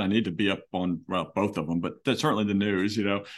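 A man with a normal speaking voice, fairly low in pitch, at a fairly quick pace, with an American accent. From Philadelphia, US. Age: 50s. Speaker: law firm CEO. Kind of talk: interview.

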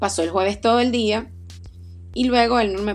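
A woman with a Venezuelan accent, at a moderate pace. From Venezuela, Aragua. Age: 30s. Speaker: podcast host, doctor and running coach. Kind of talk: personal storytelling monologue.

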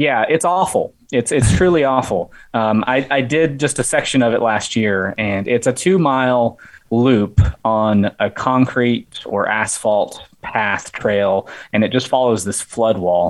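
A man with an American accent uses an unremarkable speaking voice at medium pitch with lively intonation. His pace is fairly slow against a quiet background. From West Virginia. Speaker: ultrarunner and amateur filmmaker. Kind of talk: casual interview chat.

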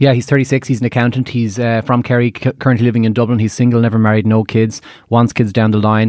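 In a monotone, flat voice, a man talks very fast on a very clean recording with a silent background and a dry, close sound with no echo. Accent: Irish. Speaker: matchmaker. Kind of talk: casual chat. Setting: studio.

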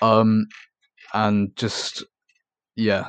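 A man speaks with an East Anglian accent. The background is quiet and the sound is dry and close, with no echo. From England, Norfolk. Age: young. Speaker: urban explorer. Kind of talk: interview.

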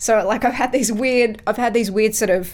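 In a very clean recording with a silent background, a woman with an Australian accent speaks in a monotone, flat intonation. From Australia, Melbourne. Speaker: music podcast guest. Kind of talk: casual chat.

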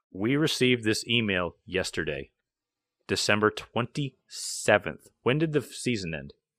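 A man speaks fairly slowly with vocal fry and very wide pitch swings, the sound dry and close with no echo on a very clean recording with a silent background. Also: fairly low pitch for a man. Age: 30s. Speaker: racing podcast host and race car mechanic. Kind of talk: casual chat.

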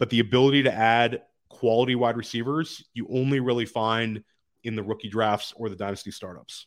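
A man speaks fairly quickly with an American accent at a medium pitch, his intonation fairly even, in a plain, everyday voice. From Washington, D.C., US. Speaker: fantasy football analyst and podcaster. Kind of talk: casual interview. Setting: in person at his home.

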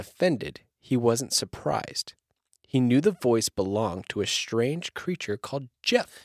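Lively intonation colors a natural reading voice. The background is quiet.

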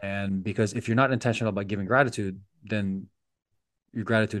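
Very fast speech with fairly even intonation over a quiet background. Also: man. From Philippines. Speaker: sports physical therapist. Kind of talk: interview conversation.

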